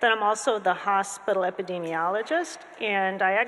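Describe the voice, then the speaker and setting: A woman at a moderate pace. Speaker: panel moderator. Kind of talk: moderator introduction. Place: hall. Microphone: podium.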